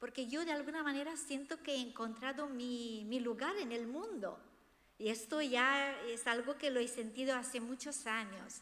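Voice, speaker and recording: With a Romanian accent, a woman speaks at a moderate pace in a high pitch and a bright, sharp tone, with audible room echo. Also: ordinary pitch variation. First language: Romanian (speaking Spanish). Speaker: author. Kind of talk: book presentation talk.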